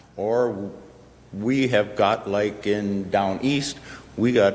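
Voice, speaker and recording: Someone with an Ontario accent speaks with fairly even intonation over noticeable background noise. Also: man. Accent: rural Ontario Canadian. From Petersburg area, Ontario. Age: 70s. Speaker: landowner speaking at council meeting. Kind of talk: public comment at council meeting.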